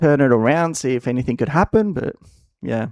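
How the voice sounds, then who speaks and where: Man with an Australian accent at a medium pitch, lively intonation, in a very clean recording with a silent background and a dry, close sound with no echo. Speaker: gaming streamer. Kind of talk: casual live-stream chat. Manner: halting, many fillers and repeats.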